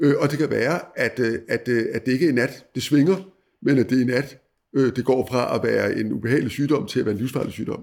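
This man has an unremarkable speaking voice at a medium pitch. He talks fairly quickly with ordinary pitch variation. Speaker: former newspaper editor, commentator. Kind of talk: interview on world affairs. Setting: at guest's country home.

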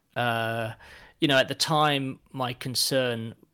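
Very cleanly recorded against a silent background, a man with an English accent speaks at a medium pitch in a bright, sharp tone. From England. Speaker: football fan guest. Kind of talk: casual chat.

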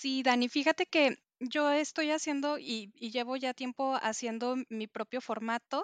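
A woman with a high voice speaks with fairly even intonation, the sound dry and close with no echo. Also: fairly slow pace, quiet background. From Mexico City. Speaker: planner enthusiast. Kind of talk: casual chat.

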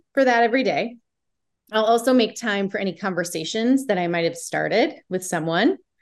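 A woman with an American accent and ordinary pitch variation. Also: quiet background. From US Midwest. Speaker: dating podcaster, returning guest. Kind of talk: casual interview chat.

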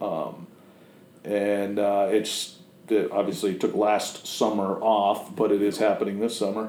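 A man with an American accent speaks slowly-ish, at a fairly slow pace, with a fairly low pitch and a monotone, flat intonation amid audible room echo. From Massachusetts and Connecticut, US Northeast. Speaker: fly-tying vise maker, business owner. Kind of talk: casual interview chat. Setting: his production facility.

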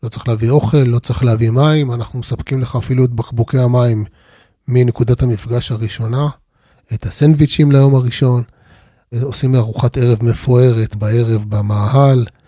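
A man speaks at a moderate pace and medium pitch, somewhat breathy. His tone is dark and mellow, with fairly even intonation. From Israel, Arad (Negev desert). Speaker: tour guide and finance executive. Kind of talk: interview.

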